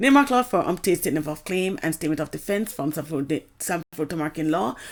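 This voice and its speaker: At a moderate pace, a woman speaks with a very deep, low pitch and vocal fry. Her pitch swings very widely. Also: very clean recording, silent background. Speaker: complainant in a legal dispute. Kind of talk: personal account. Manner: halting.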